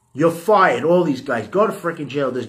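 A man speaks with a New York accent. His pitch sits fairly high for a man. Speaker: podcast host. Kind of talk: casual rant. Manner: animated; halting repetitions.

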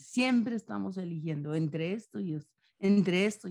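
A woman talks at a fairly slow pace with lively intonation. Her tone is dark and mellow. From Colombia, Antioquia. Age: 70s. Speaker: novelist and poet. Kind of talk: interview.

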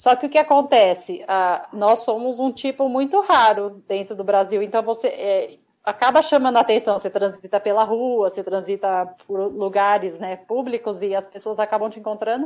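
A woman with an ordinary speaking voice talks at a moderate pace with hardly any pauses. Her pitch is fairly high, with ordinary variation. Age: 40s. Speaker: model and albinism advocate. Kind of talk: interview.

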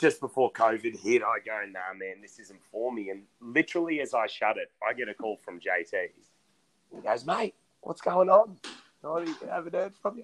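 A fairly high-pitched man's voice with vocal fry, very wide pitch swings, big swings in loudness, a moderate pace and a dry, close sound with no echo. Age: 20s. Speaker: podcast co-host. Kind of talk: casual chat.

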